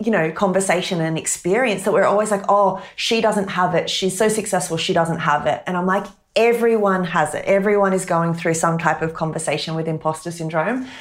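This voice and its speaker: This woman speaks at a medium pitch with ordinary pitch variation. Her pace is moderate, with hardly any pauses. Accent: Australian. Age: 30s. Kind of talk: interview.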